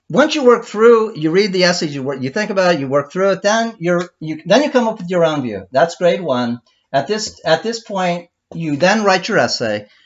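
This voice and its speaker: A man speaks with a high pitch. His voice rises and falls in very wide pitch swings. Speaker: teacher. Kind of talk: lecture. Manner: halting, many false starts; fast.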